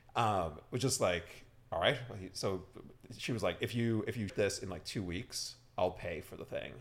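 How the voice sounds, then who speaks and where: With a slight Irish accent, a man speaks at a moderate pace. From Ireland. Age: 30s. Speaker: startup founder and CEO. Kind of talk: casual chat. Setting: studio.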